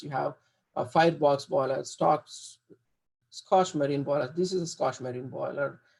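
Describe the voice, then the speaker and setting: The man's pitch is fairly high, with ordinary pitch variation. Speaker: HVAC engineer giving a guest lecture. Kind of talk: lecture. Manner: fast; halting, many repetitions and fillers.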